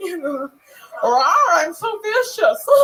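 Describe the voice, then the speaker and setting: A put-on character voice, growling at an extremely high pitch. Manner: campy, growly.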